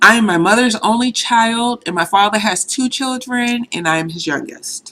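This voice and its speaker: Speaking at a moderate pace, a woman uses lively intonation in a fairly high pitch with a bright, sharp tone. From Boston, Mattapan. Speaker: vlogger. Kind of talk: casual vlog monologue. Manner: conversational, casual.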